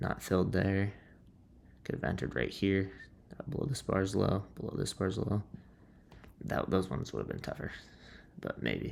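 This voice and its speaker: Quiet and very deep, a man's low voice carries vocal fry and lively intonation, broken by long, frequent pauses. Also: moderate pace. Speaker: day trader vlogger. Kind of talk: casual trading recap. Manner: quiet, subdued.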